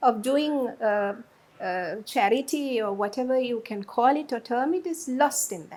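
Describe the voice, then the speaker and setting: A woman talks at a fairly slow pace in a high pitch, with lively intonation and big swings in loudness. The recording is very clean, with a silent background. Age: 60s. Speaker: media personality. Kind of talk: interview.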